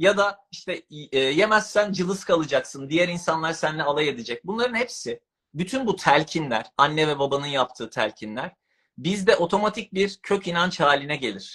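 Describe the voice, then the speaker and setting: A man's high, bright, sharp voice at a moderate pace, with lively intonation. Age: 40s. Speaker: author and subconscious mind coach. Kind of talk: interview about personal development.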